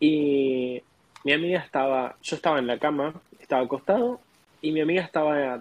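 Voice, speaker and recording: This man has a fairly high pitch and a Rioplatense accent. He talks at a fairly quick pace. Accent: Argentine Rioplatense Spanish. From Argentina. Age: 20s. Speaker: au pair. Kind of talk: interview.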